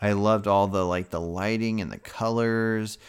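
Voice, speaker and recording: A man with a fairly low pitch speaks in a normal speaking voice at a fairly slow pace. His intonation is fairly even, on a very clean recording with a silent background. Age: 30s. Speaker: horror film podcast co-host. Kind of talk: casual chat.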